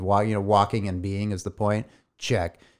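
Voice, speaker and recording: Recorded very cleanly with a silent background, a man speaks at a fairly low pitch and a fairly quick pace. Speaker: podcast co-host. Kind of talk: casual chat.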